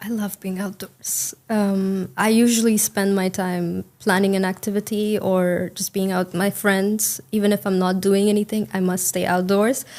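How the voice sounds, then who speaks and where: A woman with an Indian accent talks at a moderate pace and a medium pitch, with hardly any pauses. Her intonation is monotone and flat, and the recording is very clean with a silent background. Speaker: English speaking test candidate. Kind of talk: speaking exam interview. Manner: hesitant, many fillers.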